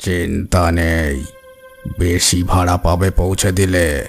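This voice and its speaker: A man in a raspy, cartoonish character voice speaks with very deep, low pitch, with faint music in the background. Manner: terse, unsettling.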